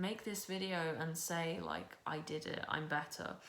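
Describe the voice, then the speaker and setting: A woman speaks at a moderate pace with a fairly low pitch and fairly even intonation. Room echo is audible. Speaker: booktuber. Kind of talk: personal testimony vlog. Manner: casual, filler-heavy speech.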